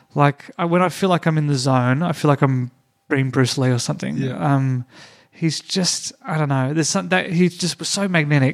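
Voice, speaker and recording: A man with an Australian accent talks at a moderate pace and fairly high pitch, with ordinary pitch variation. The sound is dry and close, with no echo. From Tasmania, Australia. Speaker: comedian. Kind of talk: casual chat. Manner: hesitant, many fillers.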